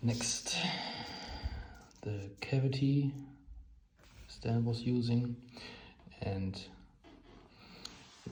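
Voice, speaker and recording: A man with a German accent speaks at a medium pitch. Audible room echo surrounds his voice. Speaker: hobbyist explaining electronics theory. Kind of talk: informal technical explanation. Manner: halting.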